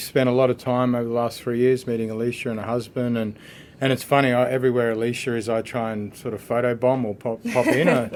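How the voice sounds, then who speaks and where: Speaking at a very fast pace, a man with an Australian accent keeps a medium pitch and a monotone, flat intonation. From Australia, northwest Queensland (Mount Isa). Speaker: barrister. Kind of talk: podcast conversation. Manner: casual, with frequent fillers and repeats.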